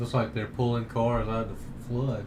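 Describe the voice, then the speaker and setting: With a Southern US accent, a man at medium pitch talks at a fairly quick pace amid audible room echo and noticeable background noise. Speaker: live stream news host. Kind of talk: live commentary. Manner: casual, hesitant with restarts.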